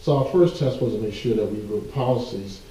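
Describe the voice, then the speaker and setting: Amid noticeable background noise and audible room echo, a man of medium pitch speaks at a fairly quick pace. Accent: American. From US South, central Georgia. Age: 50s. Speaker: civil rights organization leader. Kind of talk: interview.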